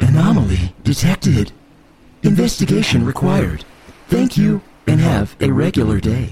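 A man uses a robotic put-on character voice at a medium pitch. He keeps a moderate pace with long, frequent pauses.

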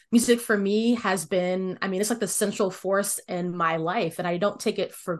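With an American accent and a plain, everyday voice, a woman speaks at a moderate pace and medium pitch with ordinary variation against a quiet background. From US, Washington DC area (Northern Virginia). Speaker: music education consultant. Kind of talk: interview.

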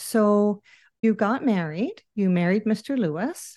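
A woman talks at a fairly slow pace in a dark, mellow tone with ordinary pitch variation. The background is quiet. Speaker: podcast host and author. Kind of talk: interview.

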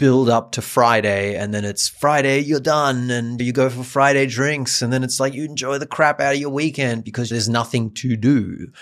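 A man speaks with a German accent. His pace is moderate and his pitch variation ordinary. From Germany. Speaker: podcast co-host and meditation app co-founder. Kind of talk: casual chat.

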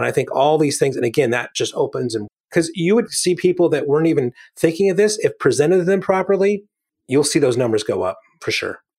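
On a very clean recording with a silent background, a man talks at a very fast pace. His voice is high, with lively intonation. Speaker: podcast co-host. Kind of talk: casual chat. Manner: joking.

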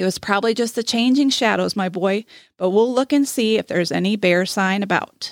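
The text is read in a natural voice, and the pitch varies in an ordinary way.

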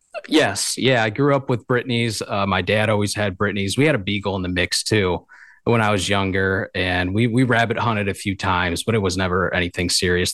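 A man with a Michigan accent at a fairly low pitch, fairly quick pace, ordinary pitch variation and hardly any pauses. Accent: Upper Midwest (Michigan). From Michigan, southeast. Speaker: upland hunting gear business owner. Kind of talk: casual interview chat. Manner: hesitant, many fillers and repeats.

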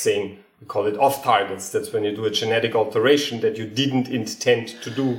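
Amid noticeable background noise and audible room echo, a man talks at a moderate pace in a medium pitch. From Austria. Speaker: geneticist and comedian. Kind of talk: casual interview chat.

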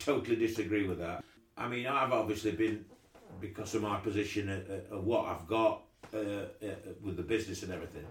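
With an East Midlands accent and a fairly low pitch, a man speaks at a moderate pace with long, frequent pauses, amid audible room echo. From Derbyshire, England. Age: 60s. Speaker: cricket club chairman. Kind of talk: interview. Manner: halting.

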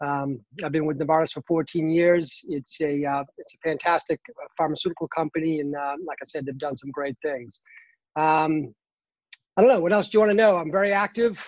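The speaker talks at a moderate pace in a Boston accent. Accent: Boston accent, dropped R's. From Boston, Massachusetts. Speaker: cancer patient, runner. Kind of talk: casual interview. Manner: animated, uses hands when excited.

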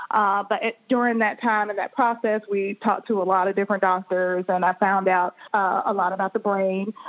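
A woman's medium-pitched voice in a flat monotone, moderate pace and hardly any pauses. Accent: American. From US South. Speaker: psychiatrist. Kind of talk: interview. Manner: halting, many fillers.

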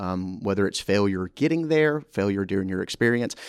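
Sounding enthusiastic, a man with a Southern US accent speaks in a very deep, low voice in a very clean recording with a silent background. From US South, Mississippi. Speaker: university orientation coordinator. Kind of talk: casual interview.

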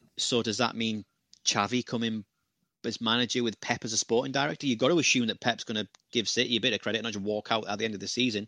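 A man with a British accent speaks very fast at a medium pitch, his tone bright and sharp and his intonation fairly even. The sound is dry and close with no echo, over a quiet background. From Britain. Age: 30s. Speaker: football pundit. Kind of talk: casual chat.

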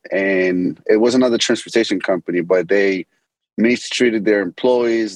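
A man with an American accent talks at a moderate pace in a fairly low pitch with fairly even intonation, an unremarkable speaking voice. The sound is dry and close, with no echo. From Medellin, Colombia; later Boston. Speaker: business founder and CEO. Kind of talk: interview, casual business talk.

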